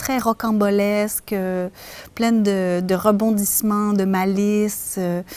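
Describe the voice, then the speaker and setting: At a very slow pace, a woman talks in a monotone, flat intonation. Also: medium pitch for a woman. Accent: Quebec. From Quebec, Canada. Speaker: storyteller. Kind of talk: interview answer.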